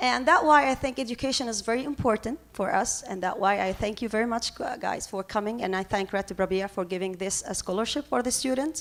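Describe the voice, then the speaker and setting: A woman with an Arabic accent talks at a very fast pace and a fairly high pitch, with hardly any pauses. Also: ordinary pitch variation. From Lebanon, Palestinian refugee camp in Beirut. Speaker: professor and activist. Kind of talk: conference panel talk. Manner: halting, many fillers.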